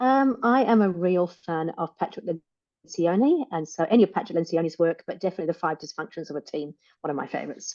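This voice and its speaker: A woman with a fairly low voice speaks at a very fast pace. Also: lively intonation. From England, Rutland. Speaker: business coach and author. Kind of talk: interview. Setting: podcast. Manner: energetic.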